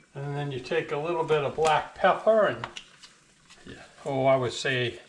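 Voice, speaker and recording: Over noticeable background noise, a man with a fairly high pitch talks at a moderate pace in a relaxed tone. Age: 70s. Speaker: home cooking channel host. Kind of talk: cooking tutorial. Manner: casual, relaxed with fillers.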